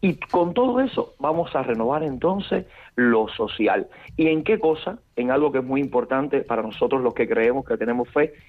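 With a Cuban accent, a man speaks at a moderate pace, his intonation lively and his loudness very even. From Cuba, Camagüey. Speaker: priest. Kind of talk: interview.

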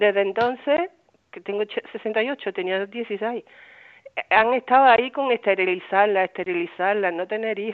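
Speaking at a fairly slow pace, the woman has a fairly high pitch, ordinary pitch variation and big swings in loudness. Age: 60s. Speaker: radio caller. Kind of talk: phone-in call. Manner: halting.

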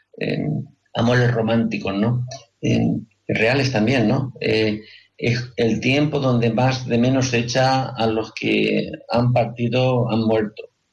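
At a very slow pace, a man speaks at a medium pitch with monotone, flat intonation and very even loudness. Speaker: radio host. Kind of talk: radio talk show.

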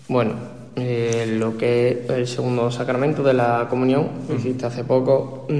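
Noticeable background noise and audible room echo accompany this recording. A man speaks at medium pitch and a moderate pace, with monotone, flat intonation. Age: 20s. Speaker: university student. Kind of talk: radio panel discussion.

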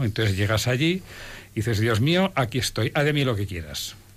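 A man's somewhat breathy voice proceeds at a moderate pace. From Spain. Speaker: lawyer and volunteer. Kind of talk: testimony.

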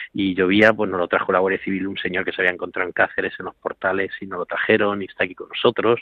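A man's fairly low, fairly even voice, a plain, everyday voice. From Spain (Toledo province). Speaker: priest, care home director. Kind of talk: radio interview.

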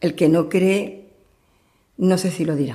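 The woman's voice sits at a medium pitch. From Andalusia, Cádiz province. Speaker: churchgoer giving testimony. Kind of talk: testimony interview.

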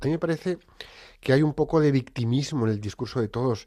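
This man talks at a fairly quick pace with very wide pitch swings. The recording is very clean, with a silent background. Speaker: radio host. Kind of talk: radio talk show. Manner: animated.

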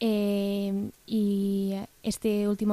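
A woman speaks in a dark, mellow tone at medium pitch with monotone, flat intonation, in a very clean recording with a silent background. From Spain, Bilbao (Basque Country). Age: 20s. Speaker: recent graduate and lay missionary. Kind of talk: radio interview. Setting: studio.

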